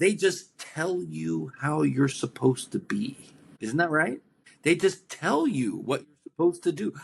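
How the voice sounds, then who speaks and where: Speaking at a fairly slow pace, a man uses lively intonation and a fairly high pitch. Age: 60s. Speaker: author. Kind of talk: podcast interview. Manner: conversational, occasionally halting.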